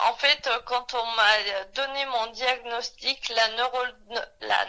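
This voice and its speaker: A woman speaks at a high pitch with monotone, flat intonation. Her pace is very slow. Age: 30s. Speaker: person with chronic illness. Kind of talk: testimony. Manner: halting.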